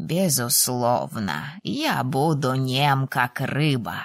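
Using a put-on character voice, a woman speaks very slowly at an extremely low pitch with big pitch swings. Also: dry, close sound with no echo.

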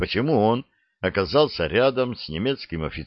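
In a quiet background, a text is read aloud in a natural voice.

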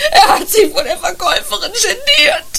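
Using a put-on character voice, a woman speaks at an extremely high pitch with big pitch swings, a bright, sharp tone and vocal fry, with audible room echo around her. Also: moderate pace.

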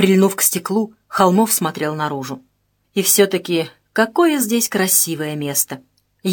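Quiet background behind a natural reading voice

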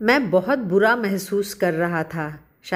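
The clip presents an unforced reading voice.

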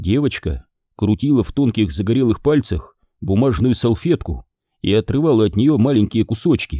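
Quiet background under plain reading aloud

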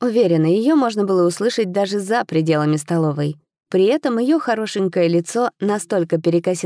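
The reading voice is unforced. Nothing much sounds in the background.

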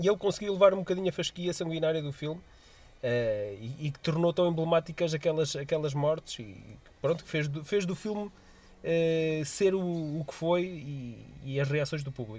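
In a European Portuguese accent, a man with a fairly high pitch and a dark, mellow tone speaks at a moderate pace with ordinary pitch variation. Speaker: podcast co-host. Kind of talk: casual chat.

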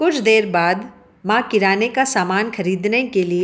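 The reading is given in an unforced reading voice, its pitch varying in an ordinary way.

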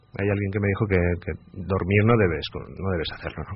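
Vocal fry, ordinary pitch variation, and a fairly quick pace. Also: man, low pitch for a man.

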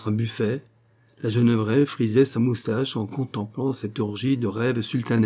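This is a natural-sounding read-aloud voice with fairly even intonation.

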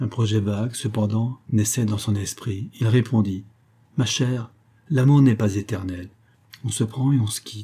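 Just a natural reading voice

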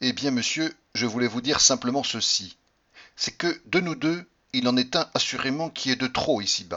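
The speaker reads in an unforced way. Pitch rises and falls normally.

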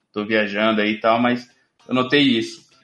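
A man with a Brazilian accent at a moderate pace, intonation fairly even. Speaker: podcast host. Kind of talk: casual chat.

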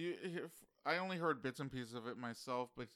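This is a plain, everyday voice moving at a moderate pace with ordinary pitch variation. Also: man. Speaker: podcast co-host. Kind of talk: casual banter podcast chat.

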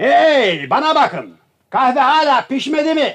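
A put-on character voice from a man, extremely high in pitch with big pitch swings, a fairly bright tone and a fairly slow pace

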